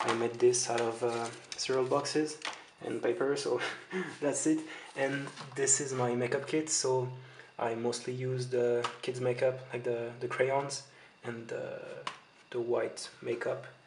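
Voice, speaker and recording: Against noticeable background noise, a man with a French accent talks at a fairly slow pace in a flat monotone, pausing long and often. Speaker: makeup tutorial maker. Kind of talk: casual makeup tutorial talk to camera. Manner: hesitant, many filler sounds. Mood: friendly, relaxed. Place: home room. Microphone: phone near.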